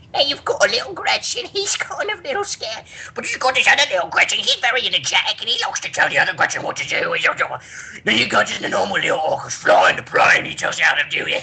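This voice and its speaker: A put-on character voice rattles along at a very fast pace. Background noise is clearly audible. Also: man, extremely high pitch for a man. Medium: solo performance.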